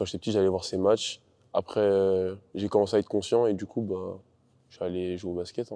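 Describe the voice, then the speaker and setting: Against a quiet background, a man with a dark, mellow tone and fairly low pitch speaks at a fairly quick pace in a flat monotone, his loudness swinging widely. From France, Paris region (Seine-et-Marne). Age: young. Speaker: basketball player. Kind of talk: casual chat.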